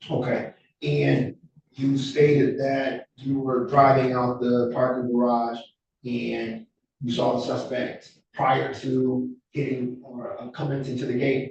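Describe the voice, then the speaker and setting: Speaking very slowly, a man uses a medium pitch and a monotone, flat intonation. His voice is somewhat breathy. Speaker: defense attorney. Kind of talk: cross-examination. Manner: soft-spoken.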